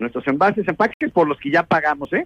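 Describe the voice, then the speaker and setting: A man talks at a fairly quick pace with lively intonation, the sound dry and close with no echo. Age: 60s. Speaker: environmental engineer. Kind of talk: radio interview.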